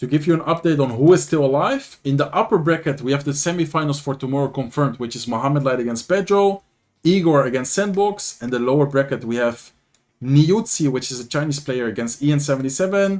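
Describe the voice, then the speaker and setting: A man speaks in a Dutch accent at a very fast pace, his pitch fairly high. His tone is animated, with ordinary pitch variation. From Netherlands. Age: 20s. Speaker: gaming streamer and commentator. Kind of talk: live commentary. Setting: livestream. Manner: casual, animated.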